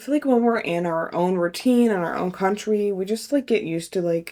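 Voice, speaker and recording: A woman with an American accent speaks at a moderate pace in a medium pitch and a dark, mellow tone. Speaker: travel vlogger. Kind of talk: casual vlog. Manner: casual, lots of filler words.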